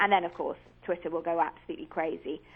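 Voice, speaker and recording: A woman with a British accent, very fast pace. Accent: British accent, remarked on by hosts. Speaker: commentator and author. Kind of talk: radio interview.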